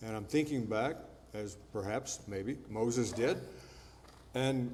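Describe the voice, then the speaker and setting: Audible room echo surrounds a man speaking at a very slow pace. His pitch varies in an ordinary way. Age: 70s. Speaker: preacher. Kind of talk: sermon. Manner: conversational.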